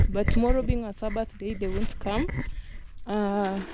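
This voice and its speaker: A woman's fairly high-pitched voice, dark and mellow in tone, with fairly even intonation, a dry sound with no echo and noticeable background noise. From Kenya. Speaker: vlogger. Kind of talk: casual vlog narration. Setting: outdoors at rural home. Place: open country. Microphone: phone near.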